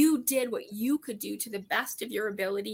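This woman has a fairly high pitch with vocal fry and a bright, sharp tone. She speaks at a moderate pace with ordinary pitch variation. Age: 50s. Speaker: weight loss program member. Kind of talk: casual chat.

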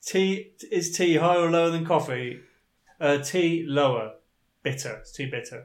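With audible room echo, a man with a British accent speaks at a moderate pace in a high voice, using ordinary pitch variation and big swings in loudness. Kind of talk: casual chat.

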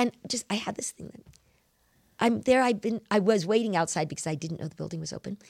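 A woman at medium pitch with vocal fry, very fast pace, lively intonation, big swings in loudness and a dry, close sound with no echo. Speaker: scripture study podcast host. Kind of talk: casual religious discussion.

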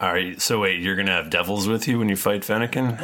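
Putting on a character voice, a man talks at a very fast pace. His pitch sits fairly low. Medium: actual play. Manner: crude, blunt, salty.

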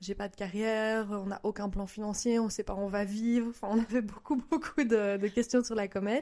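A woman talks at medium pitch in a dark, mellow tone, with monotone, flat intonation. Her pace is moderate, and the background is quiet. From Belgium. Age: 20s. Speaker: mother of two. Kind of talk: casual interview.

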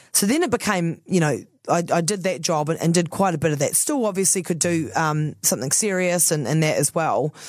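A woman's fairly low voice with a New Zealand accent, fairly quick with hardly any pauses, very even loudness and ordinary pitch variation. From New Zealand, Christchurch. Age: 30s. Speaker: radio host. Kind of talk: casual chat.

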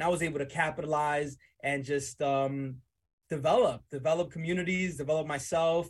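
A man's somewhat breathy, fairly high-pitched voice with fairly even intonation. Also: very clean recording, silent background. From Dominican Republic, raised in New Jersey and the Bronx. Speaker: entrepreneur. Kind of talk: casual interview. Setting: studio.

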